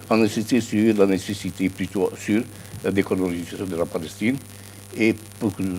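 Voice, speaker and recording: A man at a fairly low pitch with fairly even intonation, over noticeable background noise. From Algeria. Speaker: political science professor. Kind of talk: TV news interview.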